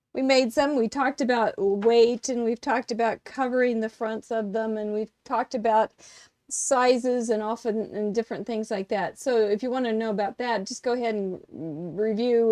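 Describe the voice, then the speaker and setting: In a dry, close recording with no echo and a quiet background, a woman with a fairly high pitch talks at a moderate pace in a dark, mellow tone with fairly even intonation. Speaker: craft teacher. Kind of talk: live craft tutorial. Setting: live stream with small in-person audience. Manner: loud. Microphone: too quiet, microphone changed mid-show.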